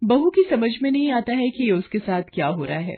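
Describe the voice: Her intonation lively, a woman talks at a moderate pace.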